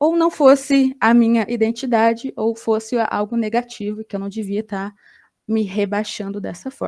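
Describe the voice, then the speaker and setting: A woman talks with a Brazilian accent. Her pitch sits fairly high. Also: ordinary pitch variation, moderate pace. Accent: Brazilian Portuguese accent noticed abroad. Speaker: graduate student researcher. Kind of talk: academic conference presentation.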